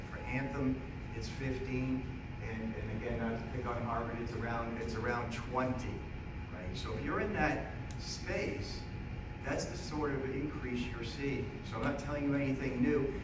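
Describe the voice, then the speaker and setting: A man at a moderate pace with long, frequent pauses, music in the background and audible room echo. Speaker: speaker. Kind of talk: public talk. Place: meeting room. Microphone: camera far.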